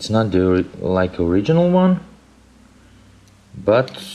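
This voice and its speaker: Over noticeable background noise, a man with a non-native accent speaks very slowly with fairly even intonation. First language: not English. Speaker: DIY hobbyist, music producer. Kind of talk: tutorial. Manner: halting.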